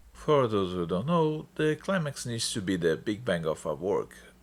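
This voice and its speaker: A medium-pitched man's voice with a non-native accent and very wide pitch swings. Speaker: film reviewer. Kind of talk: online film review narration.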